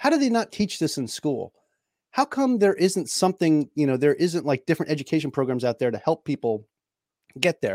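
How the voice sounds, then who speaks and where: A man with a New York accent, fairly high in pitch with very wide pitch swings, at a fairly quick pace, in a dry, close sound with no echo. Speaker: personal finance podcaster, Navy veteran. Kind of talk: interview conversation. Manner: talkative.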